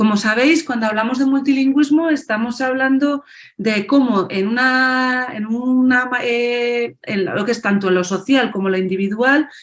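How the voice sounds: Moderate pace and fairly high pitch from a woman, with ordinary shifts in pitch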